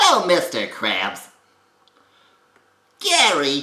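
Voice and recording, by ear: A put-on character voice, nasal and gravelly, at a middle pitch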